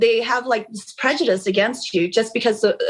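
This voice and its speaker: In a Cambodian accent, a woman speaks with fairly high pitch. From US West Coast, Long Beach, California. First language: Khmer. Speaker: real estate agent. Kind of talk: interview. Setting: podcast. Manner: animated.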